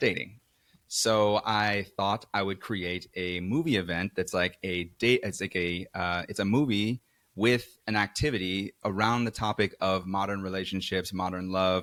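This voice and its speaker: In a New York accent, a man speaks at fairly low pitch, the sound dry and close with no echo. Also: fairly even intonation. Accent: New York American. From New York City, Queens. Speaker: event organizer. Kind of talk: podcast conversation. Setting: studio sofa.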